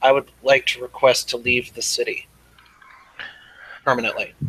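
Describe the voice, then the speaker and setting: Speaking at a moderate pace, a man does a raspy, put-on character voice. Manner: very calm.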